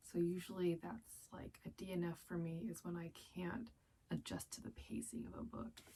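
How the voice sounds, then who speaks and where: Soft-spoken and somewhat breathy, a woman talks at a fairly slow pace. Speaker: book youtuber. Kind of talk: casual vlog monologue. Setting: closet floor at night.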